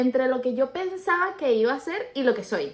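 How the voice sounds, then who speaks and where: A woman's high voice with very wide pitch swings. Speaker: podcast co-host. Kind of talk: casual chat.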